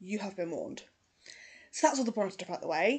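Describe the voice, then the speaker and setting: Her pitch fairly high, a woman with a British accent speaks with ordinary pitch variation. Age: 30s. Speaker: true crime YouTuber. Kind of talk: casual true crime narration. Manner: conversational.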